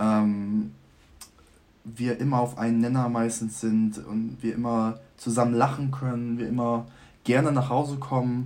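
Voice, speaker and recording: A man speaks in an unremarkable speaking voice at a medium pitch. His intonation stays fairly even and his pace is fairly slow. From Germany. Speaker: student. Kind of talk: casual chat.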